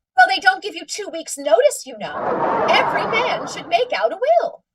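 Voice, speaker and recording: Putting on a character voice, a woman speaks at an extremely high pitch and a moderate pace, with very wide pitch swings and big swings in loudness. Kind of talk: 1940s radio comedy acting. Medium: old radio play. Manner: nagging, insistent.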